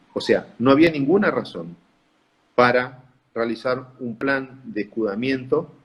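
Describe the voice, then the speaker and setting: A man speaks with a northeastern Argentine accent. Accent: Argentine Spanish (northeast). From Corrientes, Argentina. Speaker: pulmonologist. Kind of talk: interview answer. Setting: online video call.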